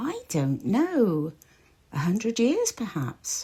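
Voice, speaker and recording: This put-on character voice sounds female, pitched fairly high and delivered at a very slow pace. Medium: read story.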